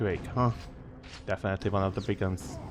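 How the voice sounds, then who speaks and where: A man speaks with a non-native accent and ordinary pitch variation while music plays in the background. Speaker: game reviewer. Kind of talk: video game commentary narration.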